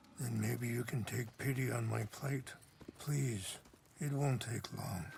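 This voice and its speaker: A man puts on a raspy character voice at a medium pitch, keeping his loudness very even at a fairly slow pace over clear background noise. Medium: video game. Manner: calm, measured, soft-spoken.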